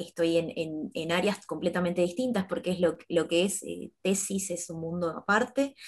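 A woman's fairly low voice with ordinary pitch variation against a quiet background. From Argentina, Campana, Buenos Aires province; Buenos Aires province, Argentina. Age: 30s. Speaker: fashion designer and university lecturer; university lecturer. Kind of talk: panel discussion. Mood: calm, friendly. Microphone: earbuds.

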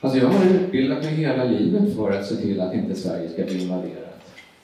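Strong room echo surrounds a man as he speaks. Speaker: speaker. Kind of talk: public talk. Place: hall.

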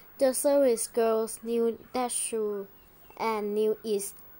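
This is plain reading aloud, and the intonation holds fairly even.

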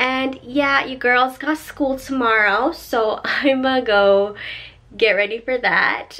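Her pitch varying in an ordinary way, a woman speaks at a very slow pace. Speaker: vlogger. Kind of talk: casual vlog chat. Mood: cheerful, animated. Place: home room.

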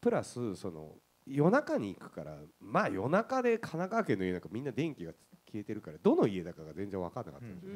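The pace is fairly quick for this man. Volume rises and drops sharply throughout. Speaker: guest. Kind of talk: casual anecdote on stage. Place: stage.

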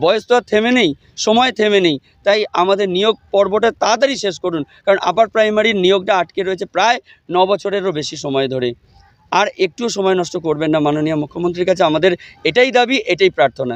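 A man's high-pitched voice with lively intonation and a dry, close sound with no echo. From West Bengal, Hooghly district. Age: 40s. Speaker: protesting job applicant, trained teacher. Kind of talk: street interview at protest. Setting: outdoors at protest site.

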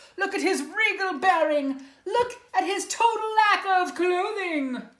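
A woman speaks in a sing-song, animated, dramatic tone at a fairly slow pace. Audible room echo surrounds her against a quiet background. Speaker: preschool teacher reading to her class. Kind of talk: bedtime-story read-aloud for preschoolers, with pauses to ask the kids questions. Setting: home video recording. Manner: animated and sing-song, gasping and 'ooh'-ing for dramatic effect; gentle, encouraging, coaxing tone aimed at small children. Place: home room. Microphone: phone near.

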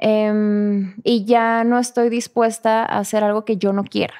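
Very slow speech from a woman with a fairly high pitch. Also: quiet background. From northern Mexico. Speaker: actress. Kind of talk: casual interview. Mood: animated, reflective storytelling. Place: studio. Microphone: studio mic.

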